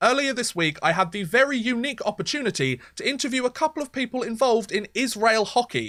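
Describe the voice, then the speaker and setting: A man with a British accent and an extremely high pitch talks at a very fast pace with hardly any pauses and lively intonation. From Britain. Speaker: podcast host. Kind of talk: podcast interview.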